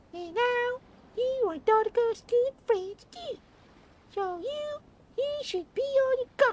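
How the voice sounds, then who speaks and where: A squeaky put-on character voice, extremely high in pitch, at a fairly slow pace. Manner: eager.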